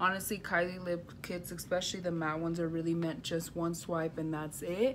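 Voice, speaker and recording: The speech runs at a fairly quick pace with audible room echo. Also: woman, fairly low pitch for a woman. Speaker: beauty vlogger. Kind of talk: makeup tutorial. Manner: animated.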